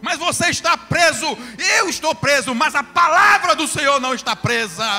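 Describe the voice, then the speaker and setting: Music plays in the background as a raised, projected voice speaks at a moderate pace. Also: man, extremely high pitch for a man, lively intonation. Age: 50s. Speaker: pastor. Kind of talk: sermon. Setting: church.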